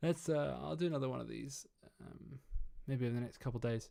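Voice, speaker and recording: With an English accent, a man speaks in a dark, mellow tone. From England. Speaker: trumpeter and mixing engineer streaming. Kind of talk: casual livestream chat. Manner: hesitant, many fillers.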